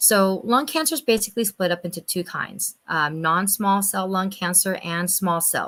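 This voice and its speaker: Speaking at a moderate pace with hardly any pauses, a woman has an ordinary speaking voice of medium pitch and ordinary pitch variation. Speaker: medical provider speaking on lung cancer. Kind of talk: health talk to a church audience.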